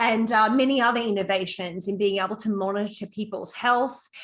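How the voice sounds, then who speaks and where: A woman's medium-pitched voice with an Australian accent, at a moderate pace. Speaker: psychologist and program founder. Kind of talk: conference talk.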